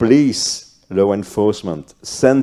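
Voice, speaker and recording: This man speaks with a non-native accent and a dark, mellow tone. His pitch varies in an ordinary way. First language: not English. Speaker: cybercrime police officer, panelist. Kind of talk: panel discussion. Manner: halting.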